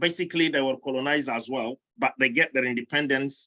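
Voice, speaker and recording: In a French accent, a man speaks with a bright, sharp tone and ordinary pitch variation, the sound dry and close with no echo. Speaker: roundtable panelist. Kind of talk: panel discussion. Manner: halting.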